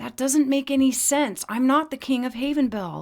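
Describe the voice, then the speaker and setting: Shouting in a put-on character voice, a female-sounding speaker pitches her voice high. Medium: read story. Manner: excitable, shouting.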